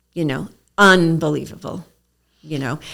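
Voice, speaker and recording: A woman speaks with a strong New York accent. The recording is very clean, with a silent background. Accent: thick New York. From New York City (Queens). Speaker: naturopath. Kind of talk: interview conversation. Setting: studio, seated across a table.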